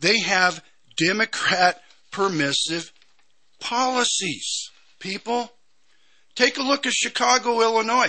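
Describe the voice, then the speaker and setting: A man talks with an American accent at a high pitch. His pace is very slow, with long, frequent pauses. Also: ordinary pitch variation. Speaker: conservative talk radio host. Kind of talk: angry political rant, sarcastic and indignant, hammering repeated phrases. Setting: radio studio. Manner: emphatic, loud, repetitive, sarcastic.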